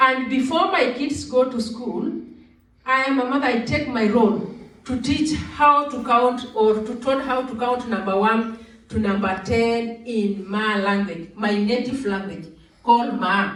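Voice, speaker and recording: A woman with a fairly high pitch speaks at a fairly slow pace with ordinary pitch variation, and room echo can be heard. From Kenya. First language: Maa. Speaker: Maasai community delegate. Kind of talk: cultural presentation.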